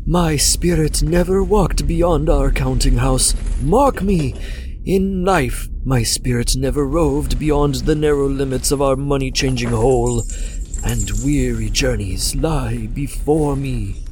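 A man does a put-on character voice at a fairly slow pace, with clear background noise behind him. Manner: solemn, mournful, doom-laden.

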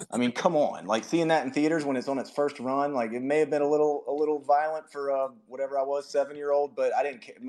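Against noticeable background noise, a man with a fairly high pitch rushes along at a very fast pace in a monotone, flat intonation with hardly any pauses. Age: 30s. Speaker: podcaster making children's stories. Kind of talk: casual chat. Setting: home office, remote audio space.

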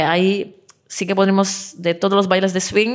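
A woman speaks with a Czech accent at a medium pitch. Her pace is fairly slow. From Czech Republic. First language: Czech (speaking Spanish). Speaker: dance teacher. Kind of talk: interview. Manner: halting, many fillers and repetitions.

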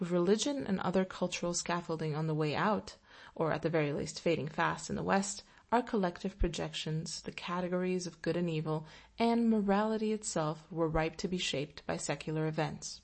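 A woman with an unremarkable speaking voice talks at a fairly quick pace. Her pitch is fairly low, with ordinary pitch variation. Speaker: essay narrator. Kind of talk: reading aloud an opinion essay, audiobook-style. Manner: dry, sardonic, wry.

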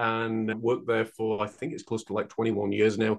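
At a fairly quick pace, a man with a medium pitch speaks with a West Yorkshire accent. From northern England (Huddersfield, West Yorkshire). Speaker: painter and mental health mentor. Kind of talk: interview conversation.

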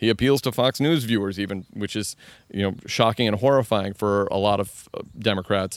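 Heard in a dry, close sound with no echo, a man with a normal speaking voice and fairly low pitch talks at a moderate pace with ordinary pitch variation. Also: very clean recording, silent background. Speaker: political comedian and commentator. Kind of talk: casual interview conversation.

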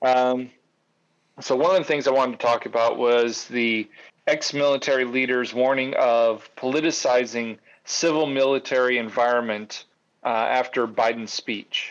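A man with a normal speaking voice and an American accent, medium pitch, fairly even intonation, very even loudness and a moderate pace. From Grand Rapids, Michigan. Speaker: producer, co-host.

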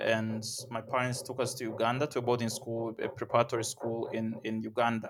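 A man speaks at a medium pitch with a monotone, flat intonation. His pace is fairly quick. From Tanzania. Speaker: startup founder and CEO. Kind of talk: interview.

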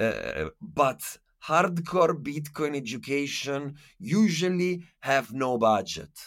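A man with an Italian accent, fairly high in pitch, with lively intonation and a very slow pace. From Italy. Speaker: activist and podcaster. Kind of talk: casual interview. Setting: remote call.

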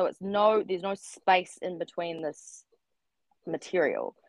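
A woman with a New Zealand accent, fairly even intonation and a dry, close sound with no echo. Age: 30s. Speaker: writer and artist. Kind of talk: casual chat. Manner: halting.

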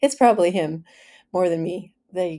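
This dark, mellow voice moves at a fairly slow pace with ordinary pitch variation. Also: woman. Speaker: podcast host. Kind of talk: casual monologue. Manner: clears throat often.

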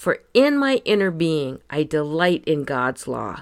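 A woman with a very deep, low pitch and a calm, soothing tone at a fairly slow pace with lively intonation, in a very clean recording over a silent background. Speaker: podcast host. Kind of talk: scripted devotional reading with scripture.

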